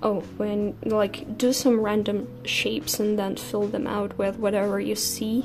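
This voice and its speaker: Against noticeable background noise, a woman with a non-native accent speaks at a very slow pace. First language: not English. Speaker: art vlogger. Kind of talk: casual chat. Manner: soft-spoken; halting.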